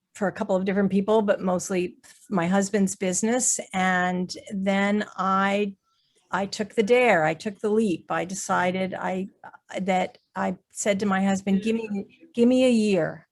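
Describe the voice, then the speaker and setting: Speaking at a fairly slow pace, a woman has an unremarkable speaking voice with a medium pitch and fairly even intonation. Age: 60s. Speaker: artist and business owner. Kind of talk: panel discussion.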